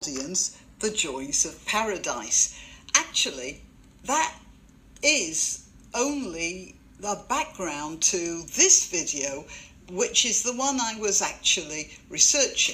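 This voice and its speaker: In a British accent, a woman speaks very slowly at a medium pitch. Her tone is bright and sharp, with very wide pitch swings. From Britain. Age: old. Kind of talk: commentary to camera. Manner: tongue in cheek.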